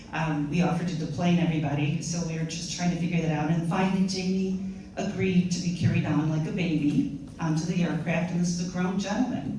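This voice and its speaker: A woman with a New York accent, fairly low-pitched, fairly quick in pace, with ordinary pitch variation, audible room echo and noticeable background noise. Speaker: pilgrimage volunteer organizer. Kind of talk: storytelling to an audience. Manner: fast.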